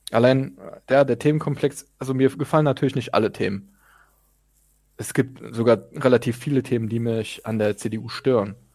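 An unremarkable speaking voice from a man, medium in pitch, at a moderate pace with fairly even intonation, in a very clean recording with a silent background. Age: young. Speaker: podcast co-host, civil servant. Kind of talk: casual political discussion.

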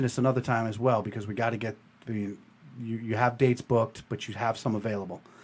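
A man's medium-pitched voice at a very fast pace, with big swings in loudness. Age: 40s. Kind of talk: casual chat. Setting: studio. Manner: animated.

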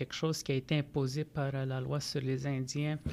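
A man speaks in a monotone, flat delivery. His voice is fairly high, with a dark, mellow tone. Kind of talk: podcast interview. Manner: halting, many repetitions.

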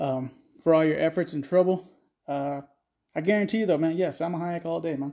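On a very clean recording with a silent background, a man with a Texan accent speaks at a fairly high pitch with a dark, mellow tone, fairly even intonation, a fairly quick pace and long, frequent pauses. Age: 30s. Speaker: podcast host. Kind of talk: casual, crude comedic rant. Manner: crude, joking.

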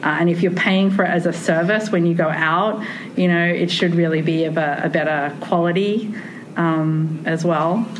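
Speaking in an Australian accent, a woman uses a fairly low pitch, a moderate pace and fairly even intonation. Audible room echo and noticeable background noise fill the recording. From Australia, Sydney. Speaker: tea ceremony researcher. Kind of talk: casual conversation. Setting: conference.

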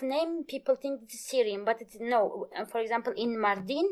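A woman speaks with a fairly high pitch and ordinary pitch variation. Her tone is slightly mellow.

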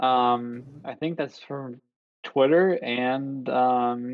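Using fairly even intonation, a man with a Buffalo accent speaks at a medium pitch. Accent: Western New York (Buffalo) American. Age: 30s. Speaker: physical therapist. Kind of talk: casual chat. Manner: hesitant, many fillers.

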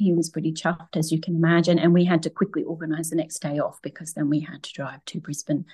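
A woman with an Australian accent speaks in a fairly low pitch. The sound is dry and close with no echo, over a quiet background. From Queensland, Australia (Toowoomba area). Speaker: adoptive mother, stay-at-home mum. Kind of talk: interview, personal story.

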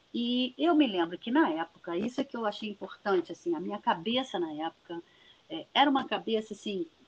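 A woman with a fairly high pitch talks at a fairly quick pace, her voice somewhat breathy and her pitch swinging very widely. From Niterói, Rio de Janeiro state, Brazil. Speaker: geography professor. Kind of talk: interview.

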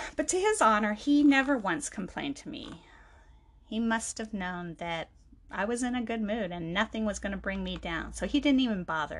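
This woman's voice is fairly high and somewhat breathy. She speaks at a moderate pace with lively intonation. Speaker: podcast host. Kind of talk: personal monologue.

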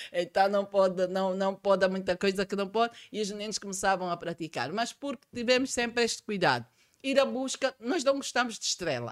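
With a plain, everyday voice, a woman speaks at a fairly quick pace and medium pitch, her intonation lively and hardly any pauses between words. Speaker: accountant and tax trainer. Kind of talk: podcast interview.

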